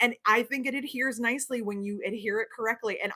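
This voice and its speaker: With a slight New York accent, a woman talks at a fairly quick pace in a high pitch. Her tone is bright and sharp, and her pitch varies in an ordinary way. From New York (not NYC boroughs). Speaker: sewing pattern designer and livestream host. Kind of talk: casual livestream chat. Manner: fast.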